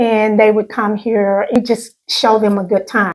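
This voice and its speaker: A woman with a Southern US accent speaks at a very slow pace in a fairly high pitch. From US South, Arkansas (Pine Bluff). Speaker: channel host, recovering alcoholic. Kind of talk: interview testimony.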